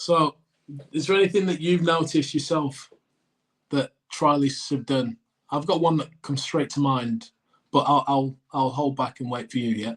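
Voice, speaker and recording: A man with an English accent, fairly high in pitch, with ordinary pitch variation and long, frequent pauses. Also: moderate pace. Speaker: podcast co-host, cricketer. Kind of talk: casual chat.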